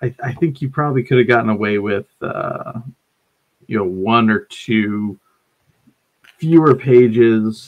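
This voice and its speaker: At a fairly slow pace, a man talks in a medium-pitched voice with ordinary pitch variation. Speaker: game store owner and co-host. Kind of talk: casual chat about tabletop games.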